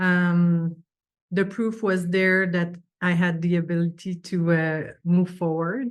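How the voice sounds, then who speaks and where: With a French accent, a woman speaks at a medium pitch and a fairly slow pace. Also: quiet background. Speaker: business owner. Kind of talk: interview.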